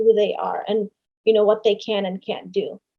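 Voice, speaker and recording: A woman talks at a moderate pace in a dark, mellow tone. Her pitch swings very widely. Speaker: podcast guest discussing parenting and boundaries. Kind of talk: podcast interview answer. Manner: passionate.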